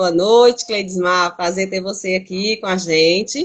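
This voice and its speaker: At a moderate pace, a woman talks in an ordinary speaking voice with medium pitch and ordinary pitch variation. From Northeast Brazil. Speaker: teacher and cultural producer hosting a live. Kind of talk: casual live stream chat. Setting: Instagram live video.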